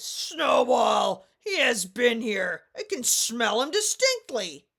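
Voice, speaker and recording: In a put-on character voice, the speaker talks at a fairly high pitch and a very slow pace. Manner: booming, accusatory.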